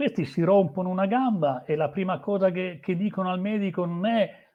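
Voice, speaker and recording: A man's high-pitched voice at a moderate pace. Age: 60s. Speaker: motorsport journalist. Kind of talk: interview. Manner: halting, many fillers.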